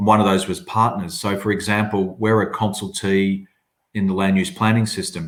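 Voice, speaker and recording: A man with an Australian accent speaks at a fairly low pitch. His intonation is monotone and flat, and his pace is moderate. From southern Australia. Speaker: agency chief executive. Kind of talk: webinar panel discussion.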